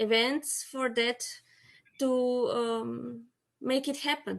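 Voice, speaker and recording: A woman speaks at a very slow pace with a high pitch, in a Slovenian accent. Her pauses are long and frequent. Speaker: apitherapy educator. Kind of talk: panel discussion. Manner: halting.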